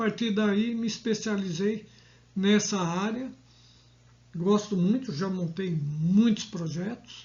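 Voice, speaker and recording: A man speaks at a very slow pace. His pitch is high, with ordinary variation. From Brazil, São Paulo state (Jandira). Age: 60s. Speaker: agronomist, school garden educator. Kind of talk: talk to camera, informal presentation. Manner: conversational with fillers.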